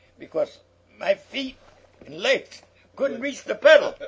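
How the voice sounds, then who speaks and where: With noticeable background noise around it, the talking proceeds at a moderate pace. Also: man. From Philadelphia. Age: 80s+. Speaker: retired firefighter. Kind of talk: oral history interview answer. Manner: conversational storytelling, reminiscing.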